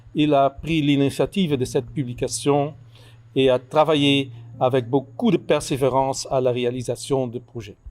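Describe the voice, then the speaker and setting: A man of medium pitch at a fairly slow pace, with fairly even intonation. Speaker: book author, labour historian. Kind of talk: formal speech at book launch. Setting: event with audience. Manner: halting, many hesitations and repeated words.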